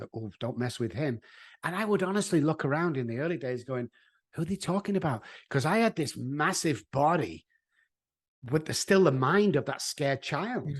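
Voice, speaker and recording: A man with a Mancunian accent and a fairly high voice speaks at a moderate pace with lively intonation over a quiet background. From Manchester, England. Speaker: addiction therapist. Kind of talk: interview answer.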